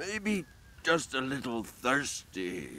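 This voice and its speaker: A man's put-on character voice at medium pitch with very wide pitch swings, over clear background noise. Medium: video game. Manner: stammering, apologetic.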